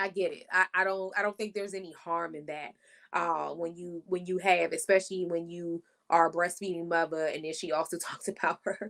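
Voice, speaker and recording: In a D.C. accent, a woman talks at a fairly quick pace with a fairly low pitch, an animated tone and big swings in loudness. The recording is very clean, with a silent background. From Washington, D.C. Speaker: podcast co-host. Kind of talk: casual chat.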